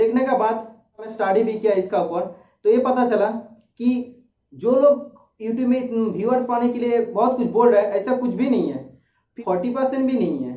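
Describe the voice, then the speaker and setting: A man with a Bengali accent speaks at an extremely high pitch with ordinary pitch variation. His moderate pace is heard with audible room echo. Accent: Bengali-accented Hindi. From India, West Bengal. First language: Bengali (speaking Hindi). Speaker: YouTuber, research centre employee. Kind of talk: informational talk. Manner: hesitant, with filler sounds.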